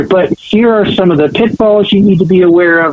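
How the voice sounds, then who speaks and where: A man talks at a fairly quick pace with a high pitch. Noticeable background noise runs under his speech. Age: 60s. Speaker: education speaker and panelist. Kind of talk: podcast interview.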